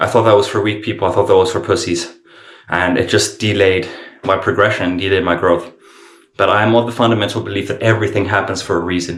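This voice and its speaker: A man's fairly quick speech with vocal fry and audible room echo. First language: not English. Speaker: vlogger in addiction recovery. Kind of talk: casual vlog monologue. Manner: halting, with self-corrections.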